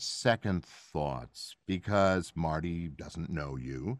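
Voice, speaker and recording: A man's very slow speech, with a dry, close sound and no echo. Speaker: actor and voice actor. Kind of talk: casual interview. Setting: video call.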